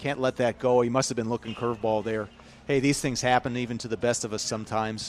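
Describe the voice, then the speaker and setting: A man at medium pitch and a fairly quick pace. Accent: Chicago. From US Midwest, Chicago. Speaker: baseball commentator. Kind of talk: live commentary. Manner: animated.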